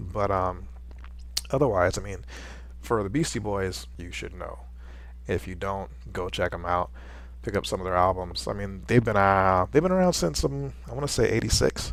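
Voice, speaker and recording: A man's very deep, low voice with vocal fry, very wide pitch swings and big swings in loudness. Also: moderate pace. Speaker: visual artist. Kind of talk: casual talk to camera.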